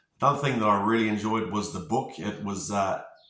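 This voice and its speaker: Here a man speaks at a fairly low pitch and a moderate pace. Audible room echo surrounds his voice. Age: 40s. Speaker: construction company manager giving a client testimonial. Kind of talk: testimony. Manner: hesitant, many filler words.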